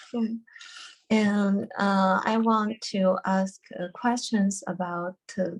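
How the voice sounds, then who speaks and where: Woman with a Chinese accent, a medium pitch, a somewhat breathy voice, fairly even intonation, and a very slow pace. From China. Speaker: retreat participant. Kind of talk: question in online Q&A. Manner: halting.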